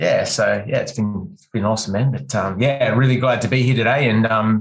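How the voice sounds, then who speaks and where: In an Australian accent, a man with medium pitch and ordinary pitch variation talks at a fairly quick pace. Music plays in the background, and his loudness swings a lot. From Australia, country New South Wales (Wagga Wagga). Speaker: guitar teacher and music store worker. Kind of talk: casual interview chat.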